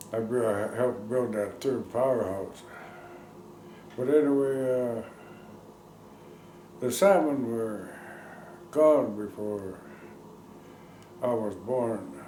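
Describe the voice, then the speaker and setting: With an American accent, a man talks very slowly at medium pitch, with ordinary pitch variation and long, frequent pauses. Noticeable background noise and audible room echo fill the recording. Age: 70s. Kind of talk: interview, oral history. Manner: halting.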